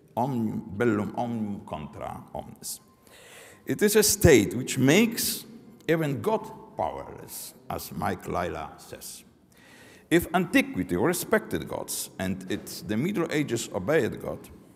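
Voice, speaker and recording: The speaker, with a Polish accent, talks at a fairly slow pace with vocal fry. The loudness swings widely and the pitch swings very widely. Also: man, medium pitch for a man. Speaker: professor. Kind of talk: lecture read from text. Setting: academic forum. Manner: halting, reading aloud.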